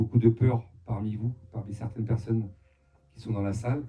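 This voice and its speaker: Somewhat breathy, a man speaks with monotone, flat intonation. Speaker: medium. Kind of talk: live talk to an audience. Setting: hall with live audience, amplified mic. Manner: halting, with frequent hesitations.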